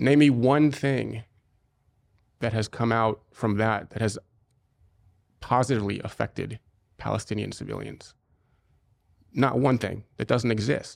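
In an American accent, this voice has vocal fry and fairly even intonation, moving at a fairly slow pace with long, frequent pauses. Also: man, medium pitch for a man. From US Midwest, Cincinnati Ohio. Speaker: former soldier, security company founder. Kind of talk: interview. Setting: studio.

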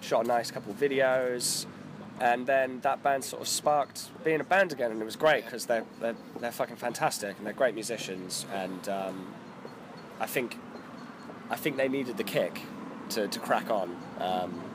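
Noticeable background noise sits behind a man talking at a moderate pace and medium pitch, with ordinary pitch variation and long, frequent pauses. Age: 20s. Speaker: record label co-founder. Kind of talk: casual chat.

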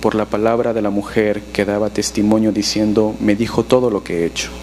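There is noticeable background noise. A man speaks over it at a very fast pace. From Peru. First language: Spanish. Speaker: pastor. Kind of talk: sermon.

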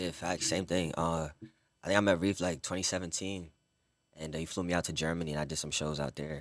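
With a New York accent, a man speaks at a fairly quick pace in a very deep, low pitch with monotone, flat intonation, on a very clean recording with a silent background. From Brooklyn, New York. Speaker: singer and model. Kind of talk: casual chat. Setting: studio.

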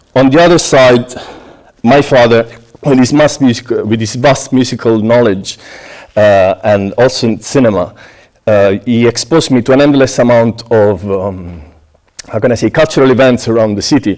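The speaker goes at a moderate pace with ordinary pitch variation. Long, frequent pauses break up the speech. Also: man, medium pitch for a man. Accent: Italian. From southern Italy, Apulia. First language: Italian. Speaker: pastry chef. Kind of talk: prepared talk to an audience. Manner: halting, with frequent fillers.

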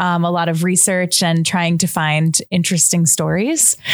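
A woman speaks at a moderate pace with a fairly low pitch and an American accent. Background noise is noticeable. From Long Island, New York. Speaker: podcast producer. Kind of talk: casual interview.

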